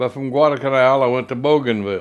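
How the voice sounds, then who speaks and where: A man with a Southern US accent, medium pitch and ordinary pitch variation. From US South, Mississippi. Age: 80s+. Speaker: war veteran. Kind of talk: oral history interview. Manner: halting.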